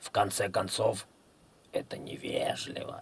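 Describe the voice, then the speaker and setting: Using a put-on character voice, a man talks hoarsely at a fairly slow pace. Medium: read story. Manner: calm, reasonable.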